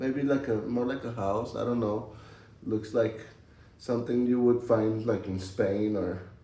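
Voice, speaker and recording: A somewhat breathy male voice at medium pitch, fairly slow in pace, with fairly even intonation. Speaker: painter. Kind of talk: casual talk while painting.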